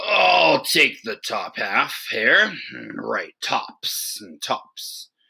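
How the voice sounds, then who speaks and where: Very slow, raspy put-on character voice from a man. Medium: read story. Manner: slow, sleepy, grunting.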